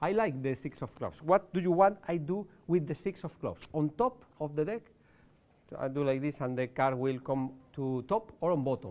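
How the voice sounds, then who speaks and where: With a Spanish accent, this man talks at a moderate pace using lively intonation. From Spain. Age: 40s. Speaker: card magician. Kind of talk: magic performance. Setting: live show with audience. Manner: halting. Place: studio.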